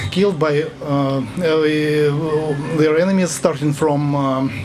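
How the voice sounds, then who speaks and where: This man has a fairly high voice and speaks with a Russian accent. Noticeable background noise and audible room echo surround him. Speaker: army service member. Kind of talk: rally speech. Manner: halting.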